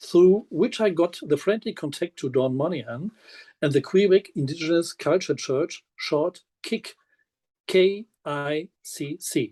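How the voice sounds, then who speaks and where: The speaker has a German accent and a dark, mellow tone at a fairly slow pace. The sound is dry and close with no echo, against a quiet background. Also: man. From Germany. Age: 60s. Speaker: minister and physiotherapist. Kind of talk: prepared self-introduction.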